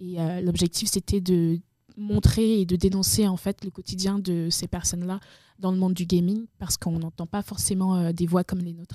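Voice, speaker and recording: A woman's medium-pitched, dark and mellow voice at a moderate pace, with monotone, flat intonation and a dry, close sound with no echo. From Benin. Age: 20s. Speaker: video game community manager and association founder. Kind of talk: casual interview.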